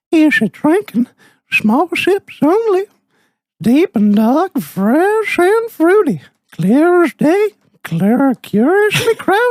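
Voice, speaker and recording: A put-on character voice, extremely high in pitch, with very wide pitch swings at a fairly slow pace. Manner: creepy.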